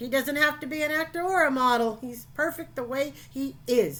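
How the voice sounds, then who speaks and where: A woman in a put-on character voice at a high pitch. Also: moderate pace. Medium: read story. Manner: loud, blustering, domineering.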